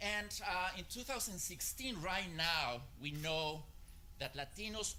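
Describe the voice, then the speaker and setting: A man with vocal fry at a fairly slow pace, amid audible room echo. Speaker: marketing strategist. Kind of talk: conference talk. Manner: hesitant, many filler uhs.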